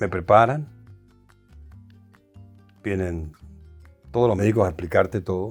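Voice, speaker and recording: With music in the background, a man talks at a fairly slow pace in a fairly low pitch, using ordinary pitch variation and long, frequent pauses. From Venezuela. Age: 70s. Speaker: singer and actor. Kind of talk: interview answer.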